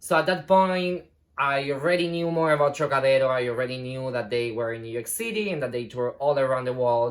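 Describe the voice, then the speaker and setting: A man with a plain, everyday voice talks at a medium pitch with ordinary pitch variation and hardly any pauses. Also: fairly quick pace. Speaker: ballet dancer. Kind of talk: casual talk to camera.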